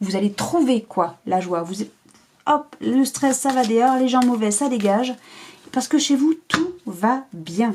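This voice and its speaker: Her voice is high in pitch. The woman speaks very slowly. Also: lively intonation. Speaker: tarot card reader. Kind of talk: tarot reading to camera.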